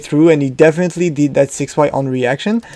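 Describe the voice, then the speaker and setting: This man's voice sits at a fairly high pitch. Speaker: fighting game commentator. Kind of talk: match analysis commentary. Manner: hesitant, many fillers.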